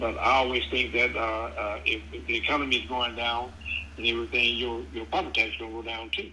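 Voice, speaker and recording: The man talks at a fairly quick pace. Audible room echo is present. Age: 70s. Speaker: prospective home buyer. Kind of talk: phone conversation. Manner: halting, repeats words.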